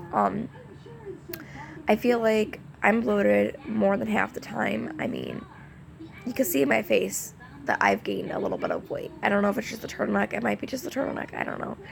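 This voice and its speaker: A woman talks at a fairly quick pace, with long, frequent pauses. Noticeable background noise runs underneath. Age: 20s. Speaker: vlogger, young mother. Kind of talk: casual chat to camera. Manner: hesitant, many fillers.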